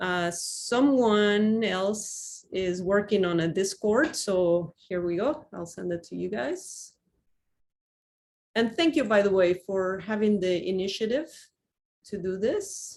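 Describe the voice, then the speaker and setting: Lively intonation carries this voice with a Spanish accent. The pace is very slow. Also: woman, medium pitch for a woman. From Mexico, Cuernavaca. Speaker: university astronomy professor. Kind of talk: lecture.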